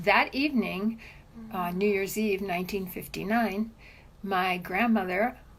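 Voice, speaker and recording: This woman speaks in an American accent, somewhat breathy. Her pitch sits in the medium range, and her intonation stays fairly even. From Cuba, Havana; US from age 10. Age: 60s. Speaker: immigrant sharing story. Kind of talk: interview testimony. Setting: at home.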